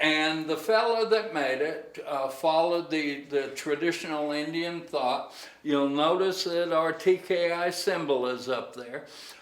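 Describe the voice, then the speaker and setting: A man speaks at a fairly slow pace with ordinary pitch variation. There is audible room echo and noticeable background noise. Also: fairly high pitch for a man. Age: 70s. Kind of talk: casual tour and chat. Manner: hesitant fillers.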